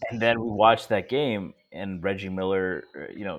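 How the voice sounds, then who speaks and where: With an American accent, a man speaks at a fairly slow pace in a fairly low pitch with ordinary pitch variation, a normal speaking voice. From Connecticut, Stamford. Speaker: sports podcast co-host. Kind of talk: casual chat.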